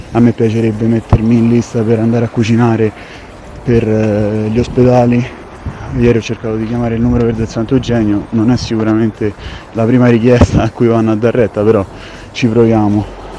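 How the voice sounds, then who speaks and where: Over noticeable background noise, a man with a medium pitch talks at a fairly quick pace, with long, frequent pauses. His intonation is monotone and flat. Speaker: chef. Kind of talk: voice message monologue. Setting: recorded at home.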